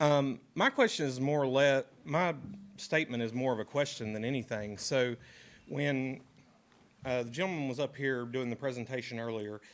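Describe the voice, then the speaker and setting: With a western North Carolina accent, a man talks at a moderate pace in a medium pitch and fairly even intonation. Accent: Southern US, western North Carolina. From western North Carolina, Caldwell County. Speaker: resident speaking at public comment. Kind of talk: public comment at a government meeting. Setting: county commissioners' meeting room.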